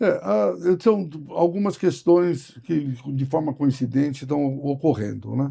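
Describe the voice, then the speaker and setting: A man with a fairly high pitch speaks in a dark, mellow, somewhat breathy tone with lively intonation. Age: 70s. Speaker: trade union leader. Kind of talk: interview.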